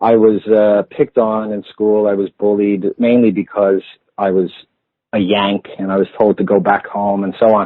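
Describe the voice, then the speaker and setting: This man talks at a fairly low pitch with an American accent. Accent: American-sounding accent that stuck. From Ireland, Clondalkin, Dublin (born in US, moved at five). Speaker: therapist and campaigner, interview guest. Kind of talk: radio interview.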